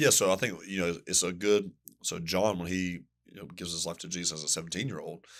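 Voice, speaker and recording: Very deep and low in pitch, a man with a Southern US accent talks at a very fast pace with fairly even intonation on a very clean recording with a silent background. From US Southeast. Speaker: pastor. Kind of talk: podcast interview. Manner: casual, conversational.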